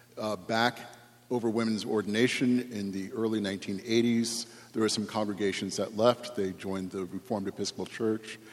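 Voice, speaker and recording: The man's voice is fairly low in pitch, with monotone, flat intonation at a moderate pace. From New England. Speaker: priest. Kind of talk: panel discussion.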